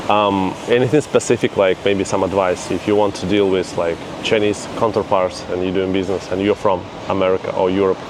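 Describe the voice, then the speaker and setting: A man's fairly low, monotone voice at a fairly quick pace, with noticeable background noise. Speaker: interviewer, channel host. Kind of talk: casual interview questions.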